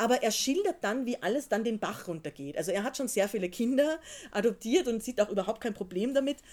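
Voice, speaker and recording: On a very clean recording with a silent background, a woman talks at a fairly quick pace in a fairly high voice whose pitch swings very widely. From Austria. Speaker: novelist. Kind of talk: literary discussion with audience. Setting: bookshop reading with live audience.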